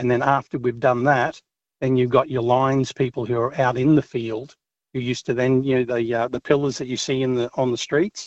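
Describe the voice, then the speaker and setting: In an Australian accent, a man at a medium pitch speaks at a fairly quick pace with monotone, flat intonation. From Australia, Brisbane. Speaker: truck driver caller. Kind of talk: talkback call. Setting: phone call.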